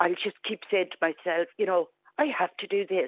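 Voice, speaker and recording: A woman speaks with an Irish Midlands accent. Her voice is shaky. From Clara, County Offaly, Ireland. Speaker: caller. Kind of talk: phone-in testimony. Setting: phone call.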